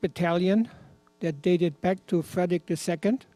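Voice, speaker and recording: Music plays in the background. A man speaks at a high pitch with fairly even intonation. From Germany, rural. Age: 80s+. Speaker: former Hitler Youth member telling his story. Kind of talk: personal testimony.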